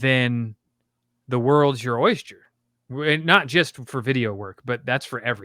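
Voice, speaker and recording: A loud man's voice at a medium pitch, bright and sharp in tone, with ordinary pitch variation and a fairly slow pace, on a very clean recording with a silent background. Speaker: content creation coach and streamer. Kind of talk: casual chat.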